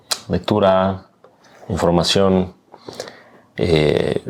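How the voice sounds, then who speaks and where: The voice belongs to a man. It sits very deep and low in pitch. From Mexico, Aguascalientes. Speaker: political scientist and professor. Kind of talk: interview conversation.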